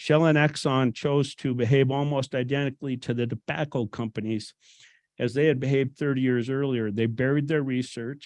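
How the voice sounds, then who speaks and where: With a plain, everyday voice, a man talks at a fairly quick pace and medium pitch with fairly even intonation, in a dry, close sound with no echo and a quiet background. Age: 60s. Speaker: public commenter, retired business owner. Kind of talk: public comment reading prepared statement. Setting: public hearing room.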